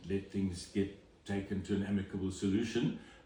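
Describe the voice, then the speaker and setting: A man with a fairly low pitch talks at a moderate pace in a room with audible echo. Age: 60s. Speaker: home inspector. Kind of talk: interview. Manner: hesitant, many fillers.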